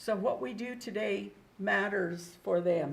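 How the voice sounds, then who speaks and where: With an American accent, a woman speaks with vocal fry. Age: 70s. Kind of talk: public testimony. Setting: public meeting room.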